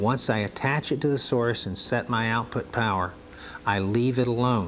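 A man speaks at a moderate pace with ordinary pitch variation. Light background noise sits behind him. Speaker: training video narrator. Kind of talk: instructional demonstration narration, vintage training film. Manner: calm, measured, formal explaining; clear step-by-step, didactic pacing.

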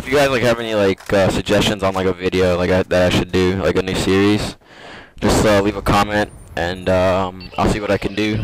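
Very deep and low, a man's voice moves at a fairly quick pace with fairly even intonation and very even loudness. Noticeable background noise runs underneath. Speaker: gaming commentator. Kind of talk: gameplay commentary. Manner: casual, hesitant.

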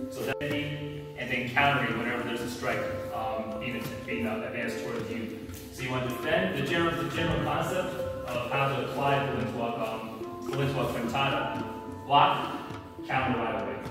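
Clear music plays behind a man speaking at a moderate pace. The room echo is strong. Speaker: martial arts instructor. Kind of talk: class instruction. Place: gym. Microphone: camera far.

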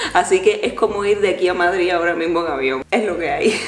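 At a fairly quick pace and fairly low pitch, a woman speaks amid audible room echo and light background noise. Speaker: travel vlogger. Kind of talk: casual vlog. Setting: at home, then bus stop outdoors. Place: home room. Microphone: phone near.

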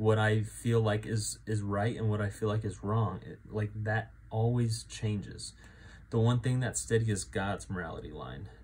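At a moderate pace, a man with an American accent speaks in a fairly low, somewhat breathy voice with ordinary pitch variation. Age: 20s. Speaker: church men's group leader; faith vlogger. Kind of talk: personal testimony. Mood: earnest, reflective. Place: home room. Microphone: phone near.

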